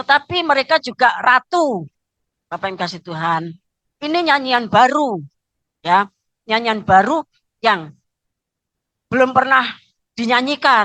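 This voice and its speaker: A woman's bright, sharp voice sits at a high pitch and makes very wide pitch swings. She moves at a fairly slow pace with long, frequent pauses, the sound dry and close with no echo. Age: 60s. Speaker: pastor. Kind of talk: sermon. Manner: frequent filler 'ya'.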